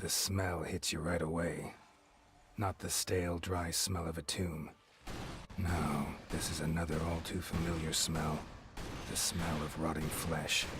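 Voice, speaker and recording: A man puts on a character voice with a very deep, low pitch, speaking at a fairly slow pace in a flat monotone with long, frequent pauses while clear background noise sounds behind him. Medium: video game. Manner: grim, brooding.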